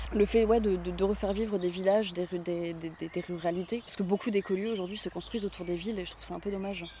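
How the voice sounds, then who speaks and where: A woman speaks at a very fast pace in a medium pitch, her intonation monotone and flat. Her loudness swings widely, with noticeable background noise behind her. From northern France, Béthune area. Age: 20s. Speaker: eco-project co-founder, actress and musician. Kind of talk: interview.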